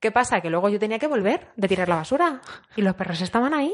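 Lively intonation carries this very fast speech in a Madrid accent. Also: woman. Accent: Madrid-area Spanish. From Spain, Azuqueca de Henares (Guadalajara). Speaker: tourism worker and animal sanctuary volunteer. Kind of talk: casual chat.

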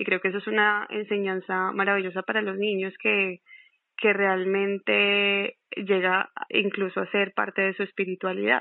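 The speech moves at a fairly slow pace in a flat, monotone delivery. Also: woman, medium pitch for a woman. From Colombia. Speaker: podcast host. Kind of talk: casual interview.

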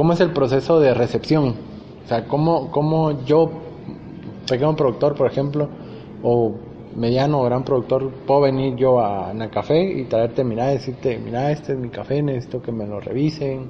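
His pace is moderate and his pitch variation ordinary. The man's voice stays at a medium pitch. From Guatemala, Huehuetenango. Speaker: video channel host. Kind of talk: interview. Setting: cupping laboratory. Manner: halting, many repetitions.

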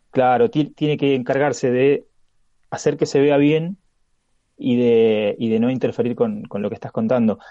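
A man's dark, mellow voice in a Rioplatense accent, medium in pitch, fairly slow, with lively intonation. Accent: Argentine Rioplatense Spanish. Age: 40s. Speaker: comics podcaster. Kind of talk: casual interview chat.

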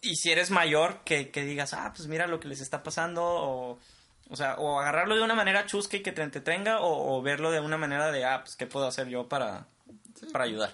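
This man's tone is bright and sharp, his pitch fairly high. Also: ordinary pitch variation, fairly quick pace. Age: 20s. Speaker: podcast co-host, engineering graduate. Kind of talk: casual chat. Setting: home studio in a bedroom. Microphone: cheap equipment.

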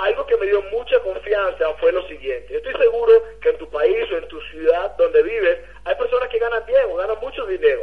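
Background noise is noticeable. The speech moves at a moderate pace. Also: man. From Venezuela. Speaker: network marketing leader. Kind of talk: motivational testimony.

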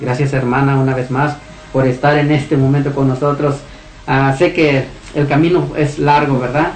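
Noticeable background noise and audible room echo surround a man with a fairly high pitch and very even loudness. He talks at a moderate pace in a flat monotone. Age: adult. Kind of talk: radio show hosting.

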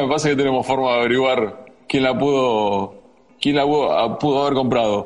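Audible room echo hangs over speech that moves at a moderate speed. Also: man. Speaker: sports radio host. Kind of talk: interview.

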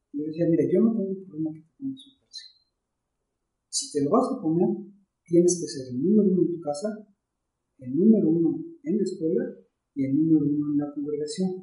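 Amid audible room echo, a man with a high, dark, mellow voice talks at a fairly quick pace with lively intonation and long, frequent pauses. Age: 50s. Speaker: pastor. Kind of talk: casual chat. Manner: halting.

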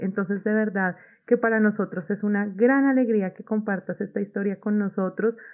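A woman with an unremarkable speaking voice talks at a moderate pace and a fairly high pitch, her intonation fairly even. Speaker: study abroad consultant hosting podcast. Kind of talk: interview.

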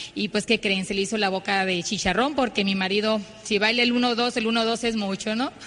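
Noticeable background noise sits under a woman's fairly high voice. She speaks at a moderate pace. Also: fairly even intonation. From Mexico, Ciudad Obregón, Sonora. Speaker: network marketing speaker. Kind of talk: motivational talk.

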